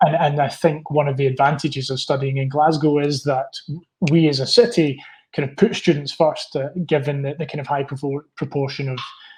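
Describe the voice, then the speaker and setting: A man with a Scottish accent talks at a fairly quick pace, somewhat breathy, with fairly even intonation. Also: fairly high pitch for a man. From Scotland. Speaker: university representative. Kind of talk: interview. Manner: halting.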